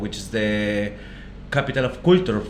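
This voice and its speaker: With noticeable background noise and audible room echo, a man speaks in a Peruvian accent. His pitch sits in the medium range. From northern Peru (Trujillo, Negritos). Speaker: chef, restaurant podcast co-host. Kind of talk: casual chat.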